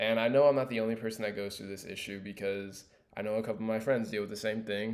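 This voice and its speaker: This man has a fairly low voice with an American accent. His intonation is monotone and flat. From Los Angeles, US. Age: 20s. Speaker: student. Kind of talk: class presentation monologue. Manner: casual with fillers.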